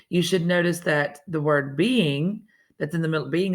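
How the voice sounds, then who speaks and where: A woman with a Southern US accent speaks at a moderate pace in a fairly low voice with ordinary pitch variation, in a very clean recording with a silent background. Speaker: teacher. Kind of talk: lesson for students. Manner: casual, conversational.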